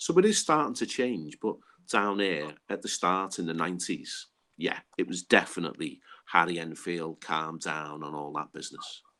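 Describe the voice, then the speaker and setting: He speaks at a moderate pace with ordinary pitch variation. The man's pitch is very deep and low. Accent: Liverpool. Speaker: Hillsborough disaster survivor. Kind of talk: podcast interview.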